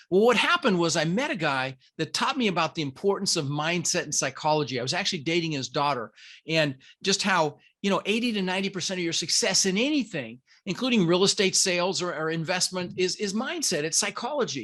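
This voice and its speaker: The voice has a bright, sharp tone and lively intonation at a very fast pace. The background is quiet. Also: man, high pitch for a man. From Denver, Colorado (immigrated from the Netherlands as a child). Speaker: real estate investor and podcast host. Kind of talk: podcast interview. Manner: animated.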